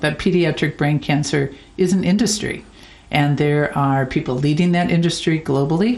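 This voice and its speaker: With an American accent, a woman speaks at a moderate pace and ordinary pitch variation. Her loudness stays very even. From United States. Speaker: charity founder. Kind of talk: interview. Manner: halting, with frequent repetitions.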